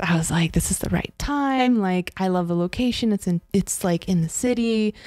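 A medium-pitched woman's voice with an American accent, lively intonation and a fairly quick pace, dry with no echo against a quiet background. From US West Coast, San Francisco Bay Area; US West Coast. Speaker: mixed media and performance artist; podcast guest. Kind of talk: casual chat. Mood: relaxed, reflective. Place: home room. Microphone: handheld.

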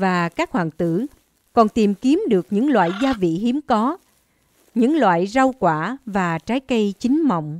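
A woman talks at a fairly high pitch and a fairly slow pace, her pitch swinging very widely. The sound is dry and close, with no echo. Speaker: narrator. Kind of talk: fairy-tale narration. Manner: storyteller's measured, even pace.

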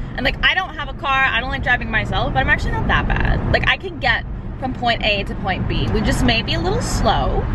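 The speech races at a very fast pace. The sound is dry with no echo, under loud background noise. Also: woman. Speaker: vlogger driving. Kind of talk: casual vlog chat. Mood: cheerful, chatty. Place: car. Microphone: phone near.

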